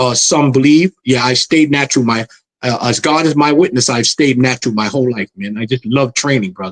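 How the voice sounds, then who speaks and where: A man in a New York accent talks at a fairly quick pace with a medium pitch and ordinary pitch variation, the sound dry and close with no echo. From New York City. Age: 60s. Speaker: martial arts master and magazine founder. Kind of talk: interview. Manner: halting, repetitive.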